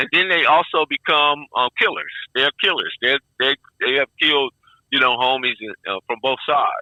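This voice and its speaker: An American accent marks a man's ordinary speaking voice, fairly high in pitch with ordinary variation and delivered at a moderate pace. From Compton, Los Angeles. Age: 60s. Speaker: former gang member. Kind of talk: interview.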